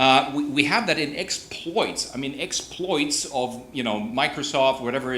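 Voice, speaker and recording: Against noticeable background noise, a man with a German accent speaks at a moderate pace with a fairly high pitch. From Germany. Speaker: conference panel participant. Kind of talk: panel discussion. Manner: halting.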